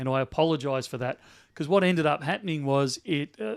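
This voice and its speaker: A man with an Australian accent speaks at a very fast pace and a fairly high pitch, with ordinary pitch variation. The sound is dry and close, with no echo. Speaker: bullion dealer. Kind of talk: live stream chat. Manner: loud.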